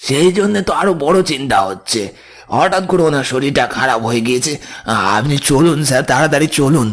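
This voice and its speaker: A man puts on a character voice with a fairly high pitch at a moderate pace. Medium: audio drama. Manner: urgent, coaxing.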